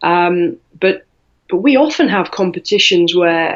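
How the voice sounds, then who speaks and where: A woman speaks with a British accent. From UK. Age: 40s. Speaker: weightlifter and coach. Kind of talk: interview.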